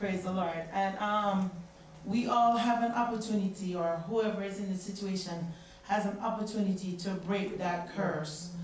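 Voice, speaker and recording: A woman at a moderate pace, with light background noise and audible room echo. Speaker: church member; congregation member commenting. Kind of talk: church Bible study discussion. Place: church.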